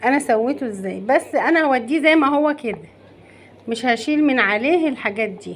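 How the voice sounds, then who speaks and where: Loud speech with lively intonation moves along at a moderate pace. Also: woman. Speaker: cooking channel host. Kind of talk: cooking tutorial. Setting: home kitchen. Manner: animated.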